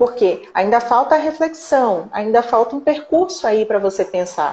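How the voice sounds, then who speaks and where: A woman speaks at a fairly slow pace in a high voice, her pitch swinging very widely. There is noticeable background noise. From Brazil, Recife (Pernambuco, Northeast). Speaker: psychologist and researcher. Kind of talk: interview in a live stream. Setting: online live stream.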